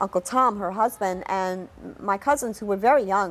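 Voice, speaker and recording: A woman speaks with a New York accent. The recording is very clean, with a silent background. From New York City. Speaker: documentary narrator telling own life story. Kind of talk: personal life-story narration.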